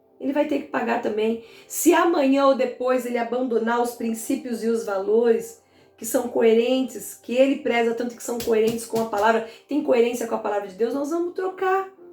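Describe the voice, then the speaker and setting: Over music in the background, a woman speaks at high pitch with ordinary pitch variation and big swings in loudness. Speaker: pastor. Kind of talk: bible teaching. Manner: fast.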